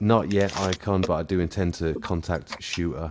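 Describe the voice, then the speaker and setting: A man with a British accent speaks at a moderate pace in a very deep, low pitch with ordinary pitch variation. Music plays in the background. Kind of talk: casual chat.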